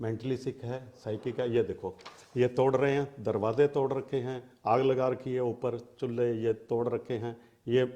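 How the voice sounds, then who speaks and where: Holding a medium pitch, the man talks with monotone, flat intonation. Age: 60s. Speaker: interviewee in family dispute. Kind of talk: interview. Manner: agitated.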